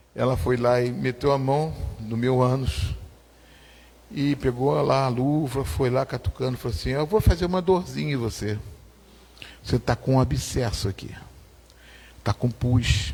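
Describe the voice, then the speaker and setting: A man's somewhat breathy voice at a medium pitch, fairly slow with long, frequent pauses and lively intonation. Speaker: pastor. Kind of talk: testimony. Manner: animated.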